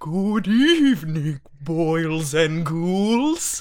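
A put-on character voice comes through, pitched in the middle range. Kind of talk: Halloween-style greeting. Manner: silly, spooky.

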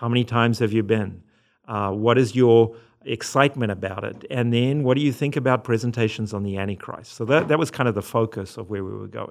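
The background is quiet as a man talks at a fairly quick pace. His intonation is fairly even. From Zimbabwe and South Africa. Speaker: religion professor. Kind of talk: interview.

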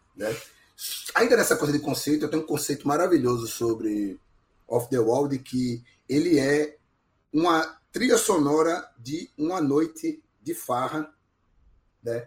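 Speaking fairly slowly with long, frequent pauses, a man uses lively intonation in a somewhat breathy, fairly high-pitched voice. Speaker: podcast guest, music commentator. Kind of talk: casual chat.

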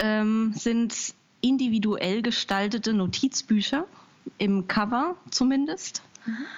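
Pitch variation here is ordinary. The delivery moves very slowly. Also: woman. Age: 30s. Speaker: small business founder. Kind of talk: interview. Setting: Skype call. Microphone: possible crackle and hiss on Skype line.

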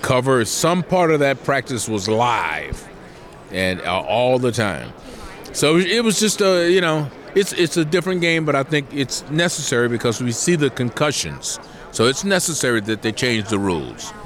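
A man at medium pitch and moderate pace, very wide pitch swings, very even loudness, and noticeable background noise. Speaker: former football player and broadcaster. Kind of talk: casual interview.

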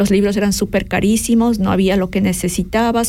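A woman speaks at a moderate pace in a medium pitch, her dark, mellow tone somewhat breathy and her intonation flat and monotone. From Ecuador, grew up in Quito. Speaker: online business coach. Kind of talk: radio interview.

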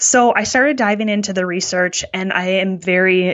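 At a moderate pace, a woman with an American accent talks in a medium pitch with ordinary pitch variation. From US Midwest, Wisconsin. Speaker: oncology dietitian. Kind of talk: interview.

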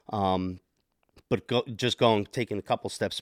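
A man with an American accent in an unremarkable speaking voice, fairly low in pitch, fairly slow and fairly even in intonation, dry and close with no echo on a very clean recording with a silent background. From New Jersey, Monmouth County. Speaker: podcast guest, parent and hockey player. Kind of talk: casual interview chat.

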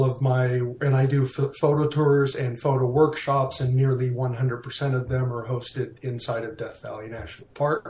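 A man's medium-pitched, monotone voice with flat intonation, at a fairly slow pace, over noticeable background noise. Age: 50s. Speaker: landscape photographer. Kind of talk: casual interview.

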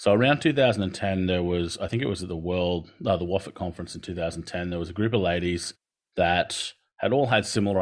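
A man's very deep, low voice with an Australian accent and ordinary pitch variation over a quiet background. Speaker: occupational therapist and lecturer. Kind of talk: keynote presentation.

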